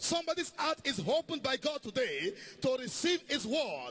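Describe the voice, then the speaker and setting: The voice is raised and projected, animated in tone, with ordinary pitch variation. Noticeable background noise is present. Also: man. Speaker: preacher. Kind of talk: sermon with congregational prayer and call-and-response. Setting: church with live congregation. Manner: animated, exhortative, rallying the congregation with shouts of praise; fervent, commanding, declaring prayers and blessings over listeners.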